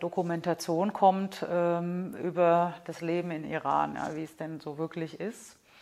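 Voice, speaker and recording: Monotone, flat intonation in a woman's fairly low voice. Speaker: museum curator and archaeologist. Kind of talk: casual interview.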